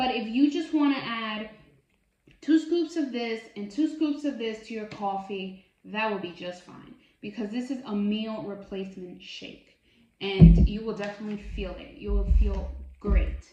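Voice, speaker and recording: A woman talks at a fairly slow pace with lively intonation and a fairly high pitch. Her loudness swings widely, and room echo is audible. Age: 30s. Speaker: bariatric surgery vlogger. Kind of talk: casual product review vlog. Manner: chatty, filler words.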